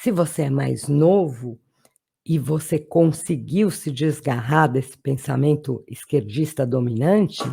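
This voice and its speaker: Very slowly, a woman speaks in a very deep, low pitch with a dark, mellow, somewhat breathy tone and ordinary pitch variation. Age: 60s. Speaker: political commentator. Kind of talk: political monologue to camera.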